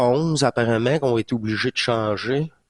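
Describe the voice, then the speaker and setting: Against a quiet background, a man in a Quebec accent talks at a moderate pace. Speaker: spiritual channel host. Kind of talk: casual monologue recap. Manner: hesitant, many fillers; animated.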